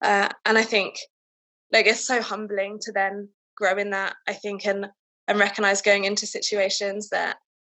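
A woman speaks in a southern English accent. Her pitch is medium and her pace moderate. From England, town north of London. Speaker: civil servant. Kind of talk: casual chat. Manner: halting.

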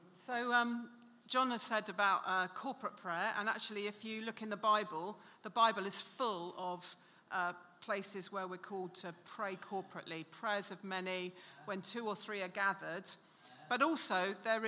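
Bright and sharp in tone, a woman's medium-pitched voice keeps a fairly even intonation. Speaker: church speaker. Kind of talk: sermon.

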